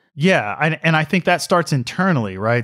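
The recording of a man with a Southern US accent is very clean, with a silent background and a dry, close sound with no echo. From US South, Mississippi. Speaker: institute director and scholar. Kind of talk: interview.

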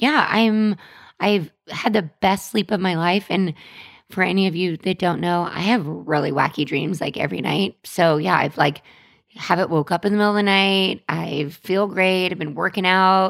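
In a very clean recording with a silent background, a woman with a plain, everyday voice speaks at a moderate pace in a medium pitch, with ordinary pitch variation. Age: 30s. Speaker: marketing podcast co-host. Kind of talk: casual chat.

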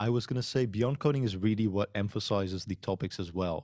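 A man's fairly low voice with a Dutch accent, fairly quick pace and ordinary pitch variation. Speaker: podcast host and software consultant. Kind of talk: interview conversation. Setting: remote video call.

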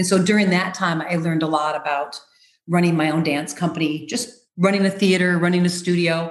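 A woman with an American accent and a plain, everyday voice talks at a fairly quick pace, fairly low in pitch with fairly even intonation. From US Midwest, Rockford, Illinois. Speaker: choreographer and dancer. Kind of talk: interview.

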